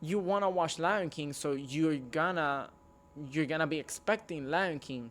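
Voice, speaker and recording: A man with a non-native accent, fairly high-pitched, at a fairly slow pace with ordinary pitch variation. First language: not English. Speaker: movie reviewer, YouTuber. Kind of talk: casual video review monologue.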